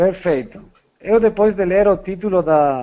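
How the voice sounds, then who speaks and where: The speaker uses ordinary pitch variation and speaks with a Spanish accent. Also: man. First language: Spanish (speaking Portuguese). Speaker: psychologist. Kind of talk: podcast interview. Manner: halting.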